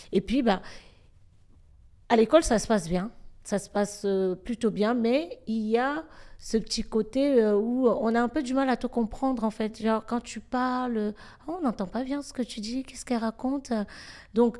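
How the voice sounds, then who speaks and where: A woman speaks in a normal speaking voice, fairly high in pitch and at a fairly slow pace. Her loudness swings widely, with ordinary pitch variation. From Cameroon, then France from school age. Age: 30s. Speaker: influencer and comedian. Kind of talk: interview.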